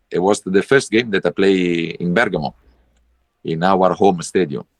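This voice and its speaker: A man's very deep, low voice at a moderate pace, with a dry, close sound and no echo. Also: ordinary pitch variation. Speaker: football coach. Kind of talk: interview. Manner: halting.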